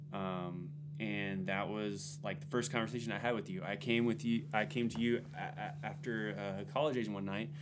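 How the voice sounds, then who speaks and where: With music in the background and audible room echo, a medium-pitched man with an American accent speaks at a moderate pace with lively intonation. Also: hardly any pauses. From Texas, San Antonio. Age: 20s. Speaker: Air Force veteran, church maintenance worker. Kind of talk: testimony. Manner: casual, many filler words.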